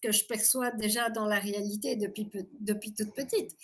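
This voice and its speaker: This woman, with an unremarkable speaking voice, talks fairly slowly at a fairly high pitch. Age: 60s. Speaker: abuse survivor giving testimony. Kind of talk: interview testimony.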